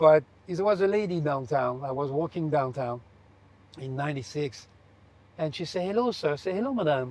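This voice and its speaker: A man with a French accent talks fairly quickly at a fairly high pitch. His intonation is lively, broken by long, frequent pauses. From France. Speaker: aviation company owner. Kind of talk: interview. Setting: aboard a private jet.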